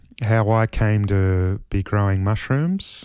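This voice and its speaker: In a very clean recording with a silent background, a man with a fairly low pitch and a dark, mellow tone speaks at a very slow pace. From Australia. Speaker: mushroom grower, musician. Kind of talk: casual vlog monologue. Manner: halting, many fillers.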